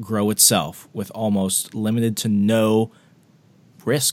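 On a very clean recording with a silent background, a man speaks in a plain, everyday voice. His pitch is fairly low and his pace fairly slow. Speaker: podcast host. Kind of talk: radio dj patter, upbeat pitch-style host banter.

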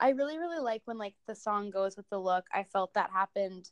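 A woman's plain, everyday voice at medium pitch, with an American accent, ordinary pitch variation and a dry, close sound with no echo. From Illinois. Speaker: podcast co-host. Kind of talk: casual chat. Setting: remote recording.

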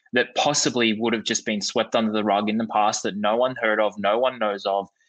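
An Australian accent marks this man's speech, with a bright, sharp tone and medium pitch. His pace is fairly quick. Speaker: podcast host. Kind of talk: interview conversation.

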